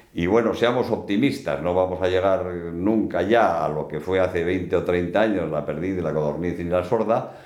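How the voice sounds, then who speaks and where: This man's very deep, low voice moves at a moderate pace with hardly any pauses, and audible room echo surrounds it. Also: ordinary pitch variation. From Basque Country, Bilbao. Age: 70s. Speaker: business executive and hunter. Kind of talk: casual interview.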